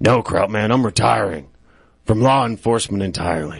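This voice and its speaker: In a put-on character voice, the speaker sounds raspy, moves at a fairly quick pace and uses ordinary pitch variation. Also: man, fairly low pitch for a man. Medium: comedy sketch. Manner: hesitant, weary.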